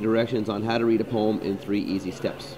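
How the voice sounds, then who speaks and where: A man talks at a fairly quick pace and a medium pitch. Background noise is noticeable. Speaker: high school English teacher. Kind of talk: tutorial. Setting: coffee shop screencast. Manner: fast; halting, many fillers. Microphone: poor sound quality.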